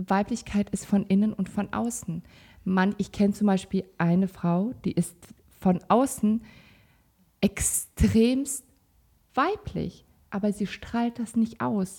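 A woman speaks very slowly at a medium pitch, her voice somewhat breathy with a dark, mellow tone. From Kazakhstan, raised in Sauerland, Germany. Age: 30s. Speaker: salon owner, mother. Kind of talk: casual chat.

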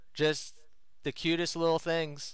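At a moderate pace, a man uses an ordinary speaking voice, fairly high in pitch, in a very clean recording with a silent background. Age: 30s. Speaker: music fan guest. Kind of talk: casual chat.

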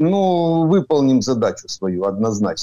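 With a dark, mellow tone and ordinary pitch variation, a man speaks in a dry, close sound with no echo. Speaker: retired army colonel and military expert. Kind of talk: interview commentary. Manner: halting with hesitations.

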